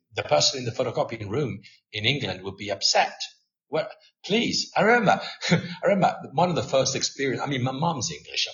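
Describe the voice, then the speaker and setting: With very wide pitch swings and vocal fry, a man speaks at a fairly quick pace in a fairly high pitch. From Italy. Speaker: language teaching expert. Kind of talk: podcast interview. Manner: animated.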